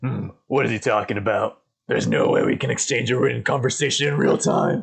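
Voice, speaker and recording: A man puts on a raspy character voice, speaking at a fairly quick pace with very even loudness. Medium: read story. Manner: grave, deliberate.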